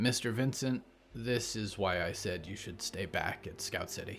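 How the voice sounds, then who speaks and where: Using a raspy, put-on character voice, a man speaks at a moderate pace with a fairly low pitch. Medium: read story.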